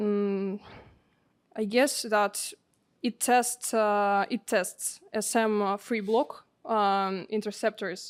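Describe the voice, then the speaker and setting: A woman speaks at a very slow pace in a Russian accent. Her pitch is fairly high. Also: fairly even intonation. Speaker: seminar participant. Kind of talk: seminar answer. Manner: halting, many fillers.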